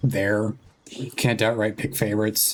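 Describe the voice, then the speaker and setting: A soft-spoken man talks at a moderate pace. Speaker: streamer. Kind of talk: casual gaming stream chat.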